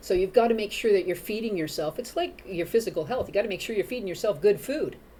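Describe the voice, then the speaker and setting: A woman speaks very fast at medium pitch with lively intonation. Her tone is dark and mellow. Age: 50s. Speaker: mental health advocate, dog walker. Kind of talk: interview chat. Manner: animated; halting, many repeats.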